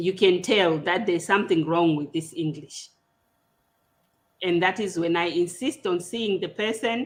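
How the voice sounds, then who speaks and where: A woman with a Zimbabwean accent speaks at a medium pitch. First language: Shona. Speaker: podcast host. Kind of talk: casual interview discussion. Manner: hesitant, with repetitions.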